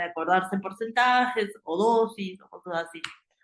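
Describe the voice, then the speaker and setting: At a fairly slow pace, a woman with a medium pitch speaks using lively intonation. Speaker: medical exam prep teacher. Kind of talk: lecture. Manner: hesitant, many fillers.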